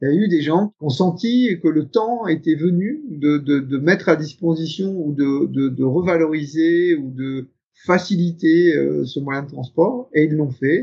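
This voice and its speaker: Speaking at a very slow pace, a man uses a fairly high pitch. His pitch varies in an ordinary way. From northern France (Picardy). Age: 50s. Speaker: company executive. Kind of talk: interview. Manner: hesitant, many fillers.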